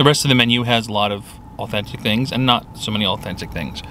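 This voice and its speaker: At a very fast pace, a man talks with ordinary pitch variation, in a dry sound with no echo and light background noise. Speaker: food reviewer. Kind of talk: casual vlog chat. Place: car. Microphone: phone near.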